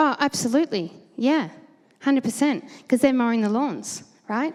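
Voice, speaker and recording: A woman speaks at a high pitch with lively intonation and an Australian accent. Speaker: conference presenter. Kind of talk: panel Q&A answers; conference presentation. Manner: fast.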